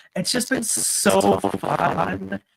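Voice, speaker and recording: A loud, animated man in a very clean recording with a silent background. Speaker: streamer. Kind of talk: casual chat. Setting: live stream. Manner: loud and boisterous.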